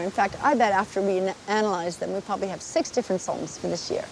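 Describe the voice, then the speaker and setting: Noticeable background noise can be heard. Over it, a woman speaks fairly quickly. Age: 60s. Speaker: marine scientist and conservationist. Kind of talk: documentary interview. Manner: animated.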